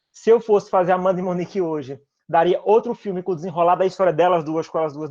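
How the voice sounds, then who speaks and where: Over a quiet background, a man with a northeastern Brazilian accent talks at a very fast pace with fairly even intonation. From Northeast Brazil. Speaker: filmmaker. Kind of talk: panel discussion.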